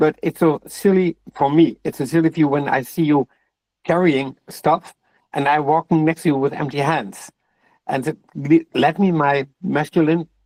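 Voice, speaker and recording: At a moderate pace and fairly high pitch, a man speaks in a dry, close sound with no echo against a quiet background. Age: 60s. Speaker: discussion group participant. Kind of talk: casual group discussion. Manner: halting, with repetitions.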